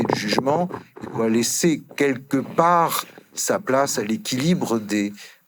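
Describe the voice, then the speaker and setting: Using lively intonation, a man with an ordinary speaking voice talks at a medium pitch. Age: 60s. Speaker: emeritus law professor. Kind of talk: conference panel talk. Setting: conference hall with audience.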